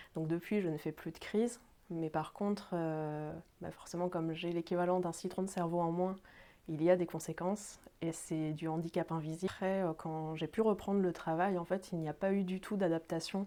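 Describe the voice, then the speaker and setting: With a dark, mellow tone and fairly low pitch, a woman speaks in a monotone, flat intonation at a moderate pace in a very clean recording with a silent background. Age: 30s. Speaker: job seeker with epilepsy. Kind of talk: testimony. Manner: halting, many fillers.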